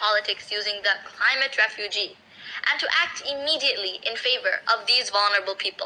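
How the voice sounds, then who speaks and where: Amid noticeable background noise, a woman uses a raised, projected voice at a fairly quick pace. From Bangladesh. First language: Bangla. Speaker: youth climate activist. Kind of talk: speech. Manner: impassioned.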